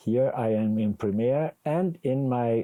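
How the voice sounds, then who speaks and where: A man with a German accent and a dark, mellow tone speaks with ordinary pitch variation, the sound dry and close with no echo against a quiet background. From Germany. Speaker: video editing instructor. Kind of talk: tutorial.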